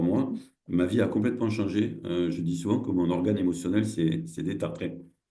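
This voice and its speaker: In a room with audible echo, a man with a very deep, low pitch and vocal fry speaks with lively intonation. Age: 60s. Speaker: social entrepreneur and cooperative founder. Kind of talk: online masterclass presentation. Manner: halting, many hesitations and repetitions.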